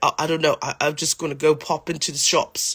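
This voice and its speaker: This put-on character voice is raspy and moves at a fairly quick pace. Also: man, fairly high pitch for a man. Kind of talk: casual, laid-back.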